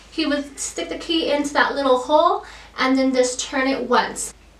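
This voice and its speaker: A woman with a high voice talks at a moderate pace, with room echo clearly audible. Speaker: YouTube vlogger. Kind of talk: casual vlog update. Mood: friendly, helpful.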